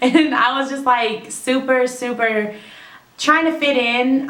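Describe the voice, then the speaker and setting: A woman speaks with an American accent and ordinary pitch variation. Noticeable background noise and audible room echo are present. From California, US. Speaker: YouTuber. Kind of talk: casual vlog talk.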